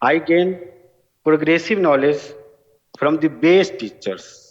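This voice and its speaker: With a strong Bihari accent, a man speaks at a very slow pace with ordinary pitch variation. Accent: heavy Bihari Indian English. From India, Bihar (village). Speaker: award-winning alumnus, farmer-focused entrepreneur. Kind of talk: award acceptance speech.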